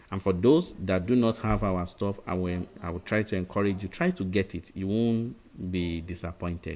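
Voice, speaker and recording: A man speaks at a moderate pace with a fairly low pitch. His is a plain, everyday voice. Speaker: medical exam tutor. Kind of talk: lecture. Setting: webinar.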